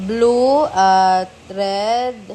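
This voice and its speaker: Fairly high-pitched female speech with fairly even intonation. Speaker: betta fish seller vlogger. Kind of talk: casual vlog narration. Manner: casual, chatty.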